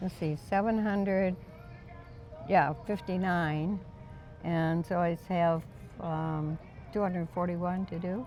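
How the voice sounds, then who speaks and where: A woman with an American accent speaks at a fairly low pitch, very slow pace and long, frequent pauses, her intonation fairly even and her tone dark and mellow. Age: 80s+. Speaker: skydiver. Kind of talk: interview answer.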